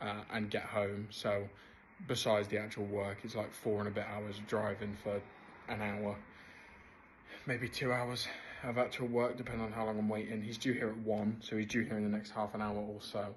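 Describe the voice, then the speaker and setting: In an English accent, a man with a fairly low voice talks at a moderate pace in a monotone, flat intonation, with audible room echo. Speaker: business co-founder vlogger. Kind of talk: casual vlog update.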